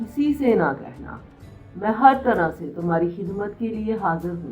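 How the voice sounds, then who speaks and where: A woman's fairly high voice over music in the background. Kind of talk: storybook reading.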